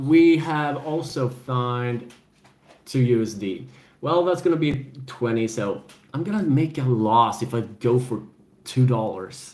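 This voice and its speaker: A very slow man's voice, medium in pitch, with a European accent and audible room echo. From Sweden. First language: Swedish. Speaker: gaming and adventure channel host. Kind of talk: casual live-stream chat.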